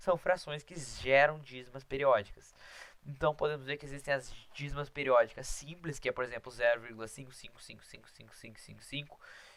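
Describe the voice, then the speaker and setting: This man talks at a fairly quick pace with a fairly high pitch and fairly even intonation, while his loudness swings widely. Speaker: math teacher. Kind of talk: lecture. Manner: fast.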